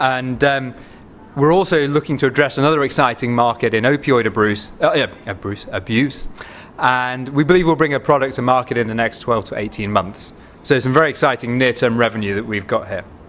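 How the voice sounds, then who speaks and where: With a Manchester accent, a man talks at a fairly quick pace, his medium pitch showing ordinary variation. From northern England, Manchester. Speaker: biotech company CEO and physician. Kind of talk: investor pitch presentation.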